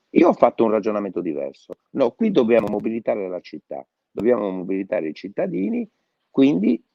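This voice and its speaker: A man with a medium-pitched voice speaks at a moderate pace, his pitch swinging very widely. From Sardinia, Quartu. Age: 60s. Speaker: mayoral candidate, former mayor. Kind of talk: interview. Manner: hesitant fillers.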